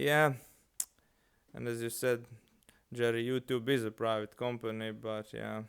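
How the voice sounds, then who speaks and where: With long, frequent pauses, a man speaks at a fairly slow pace and medium pitch, his intonation fairly even. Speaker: live streamer. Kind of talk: casual live stream chat. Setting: live stream. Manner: halting.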